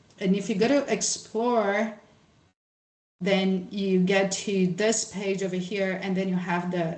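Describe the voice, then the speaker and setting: Audible room echo surrounds a woman speaking at medium pitch. She keeps a fairly slow pace and fairly even intonation. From Brazil. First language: Portuguese. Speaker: social scientist, workshop presenter. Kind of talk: workshop presentation with screen share. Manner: casual, many fillers and false starts.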